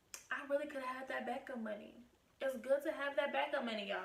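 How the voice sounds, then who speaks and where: There is audible room echo and noticeable background noise behind this woman as she talks. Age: 20s. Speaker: YouTube vlogger. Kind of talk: casual vlog. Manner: animated.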